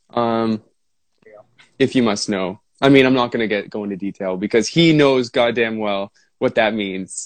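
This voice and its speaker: The speech moves at a moderate pace with ordinary pitch variation and big swings in loudness, in a dry, close sound with no echo. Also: man, medium pitch for a man. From Ontario, Canada. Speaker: rock drummer and singer. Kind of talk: casual chat. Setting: video call. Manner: rambling, soothing.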